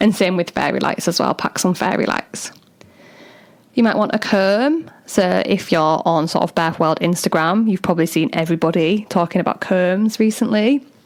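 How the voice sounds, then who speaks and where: Noticeable background noise sits behind a woman speaking at a medium pitch and moderate pace. Her loudness stays very even, with ordinary pitch variation. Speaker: doula and podcast host. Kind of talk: solo podcast talk. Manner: casual, chatty.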